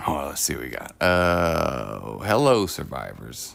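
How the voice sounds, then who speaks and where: A man with a very deep, low pitch and vocal fry speaks fairly slowly, swinging very widely in pitch, with audible room echo. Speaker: live streamer painting miniatures. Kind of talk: casual chat. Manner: casual, many fillers.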